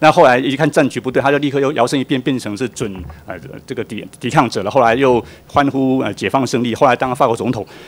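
Noticeable background noise sits behind a man talking at a very fast pace. His pitch is medium, with ordinary variation. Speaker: policy researcher. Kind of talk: testimony at public hearing.

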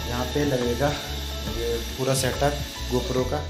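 Clear music sounds in the background as a man talks. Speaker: vlogger. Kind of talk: casual vlog chat.

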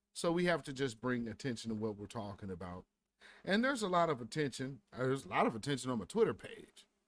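His pitch swings very widely. The man speaks at a very fast pace. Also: dry sound with no echo. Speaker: stream host. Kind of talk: casual live-stream commentary. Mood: wry, animated. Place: home room.

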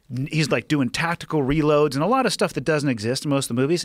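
A man with a fairly high pitch and an American accent, on a very clean recording with a silent background. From California. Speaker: podcast host and military veteran. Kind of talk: casual chat.

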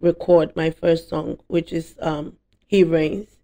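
At a fairly slow pace over a quiet background, the voice has a dark, mellow tone and monotone, flat intonation. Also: woman. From Ghana, Eastern Region. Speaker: gospel singer. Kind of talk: interview. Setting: studio. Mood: relaxed, reflective. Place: studio. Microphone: studio mic.

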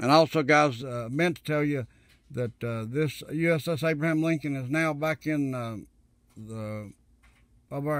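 This man has a fairly high pitch. It varies in an ordinary way. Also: very clean recording, silent background. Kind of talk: casual monologue to viewers. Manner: fast talker; animated.

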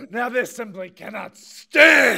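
A man's raised, projected voice at an extremely high pitch. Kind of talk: wrestling promo speech. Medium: comedy sketch. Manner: serious, dramatic, intense.

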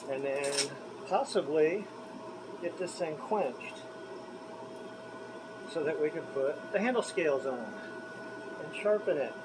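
A man speaks at a very slow pace with ordinary pitch variation. Background noise is noticeable. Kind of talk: casual workshop vlog chat. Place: workshop.

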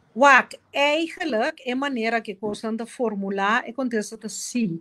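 A woman's very slow speech with lively intonation over a quiet background. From Curaçao. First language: Papiamentu (speaking Portuguese). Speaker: politician; guest. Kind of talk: interview. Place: home room. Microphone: video call.

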